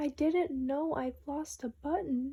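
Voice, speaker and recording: Fairly slow, high-pitched put-on character voice from a woman. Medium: read story. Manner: earnest, wondering.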